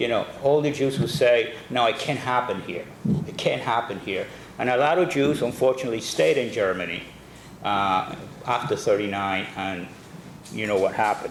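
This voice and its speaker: Speaking with a Spanish accent, a man has a medium pitch, ordinary pitch variation and a moderate pace. Audible room echo and noticeable background noise are present. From Cuba, Havana, then Brooklyn New York from age 13. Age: 60s. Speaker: guest speaker. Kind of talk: talk to a men's club. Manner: hesitant, many fillers and repetitions.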